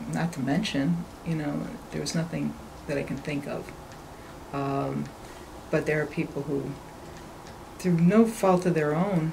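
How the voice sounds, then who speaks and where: Amid noticeable background noise and audible room echo, a woman speaks at a fairly slow pace with a very deep, low pitch, ordinary pitch variation, and long, frequent pauses. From western New York (North Tonawanda, near Buffalo). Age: 60s. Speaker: construction company owner. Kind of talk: interview conversation.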